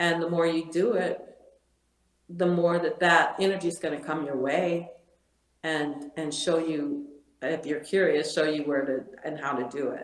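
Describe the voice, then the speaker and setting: Talking at a fairly slow pace, a woman with a fairly low voice keeps her intonation fairly even while audible room echo surrounds her. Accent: American. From Michigan, US Midwest. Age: 60s. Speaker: podcast guest, real estate agent and artist. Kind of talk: casual interview chat.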